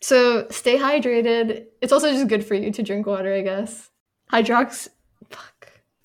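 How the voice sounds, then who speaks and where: A woman with a normal speaking voice, fairly high in pitch, at a fairly slow pace with big swings in loudness. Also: fairly even intonation. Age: 20s. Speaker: podcast co-host. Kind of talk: casual chat.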